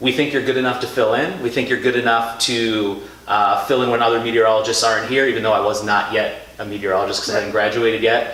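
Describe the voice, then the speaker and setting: A man with an American accent and a medium pitch talks at a very fast pace with hardly any pauses and very even loudness, amid noticeable background noise and audible room echo. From Philadelphia area. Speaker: TV meteorologist. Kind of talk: interview. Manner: animated.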